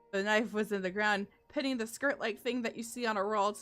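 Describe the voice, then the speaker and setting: A woman speaks at a fairly quick pace with a fairly high pitch. Her intonation stays fairly even while music plays in the background. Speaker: VTuber. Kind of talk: scary story reading. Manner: casual, conversational, with interjected asides.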